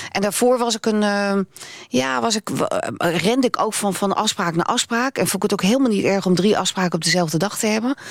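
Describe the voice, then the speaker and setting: A woman speaks at a fairly quick pace with lively intonation. Hers is an unremarkable speaking voice. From Netherlands. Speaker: radio presenter. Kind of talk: interview.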